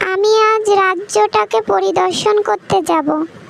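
Doing a cartoonish character voice at an extremely high pitch, a woman speaks at a fairly slow pace, with a dry, close sound, no echo and clear background noise. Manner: gentle, earnest.

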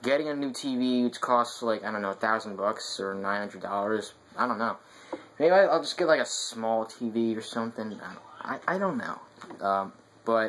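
A man speaks at a moderate pace with ordinary pitch variation against light background noise. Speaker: gaming vlogger. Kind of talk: casual vlog chat. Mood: mildly glum, resigned. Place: home room. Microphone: webcam.

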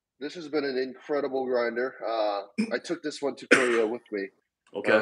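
As he speaks, the man's pitch shifts up and down in an ordinary manner. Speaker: remote guest. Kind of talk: casual interview chat. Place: kitchen. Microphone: video call.

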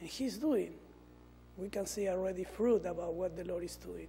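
Music plays in the background as a man speaks. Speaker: preacher. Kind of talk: sermon. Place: church. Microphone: lapel.

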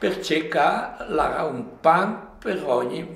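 Audible room echo surrounds a man speaking with a strong Lombard accent. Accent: strong Livigno dialect. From Livigno, Lombard Alps, northern Italy; Lombardy, Italy. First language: Livignasco dialect (speaking Italian). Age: 80s+. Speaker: elderly local storyteller. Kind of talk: interview reminiscence. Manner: halting, many repetitions.

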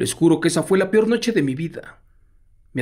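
The voice has a Mexican accent and a dramatic tone. Its intonation is lively. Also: man. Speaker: horror storyteller reading listener letters live. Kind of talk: live ghost story narration, reading a listener's letter. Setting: live stream. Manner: hushed, suspenseful, dramatic.

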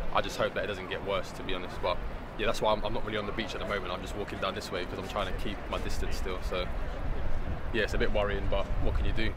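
Loud background noise surrounds a man speaking at a very fast pace. The sound is dry, with no echo. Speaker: member of the public. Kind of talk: street interview answer. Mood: relaxed, slightly worried. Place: street.

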